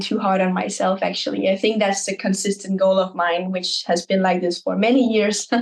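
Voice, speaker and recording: A woman talks at a moderate pace with hardly any pauses, using an ordinary speaking voice. Her pitch is medium and her intonation fairly even. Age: 20s. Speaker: content creator. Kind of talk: podcast interview.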